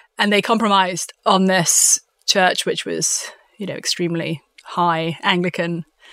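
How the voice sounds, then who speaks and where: A woman with a southern English accent talks fairly slowly at a medium pitch with fairly even intonation, in a dry, close sound with no echo. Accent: southern English (British). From London, England. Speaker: author. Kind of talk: interview.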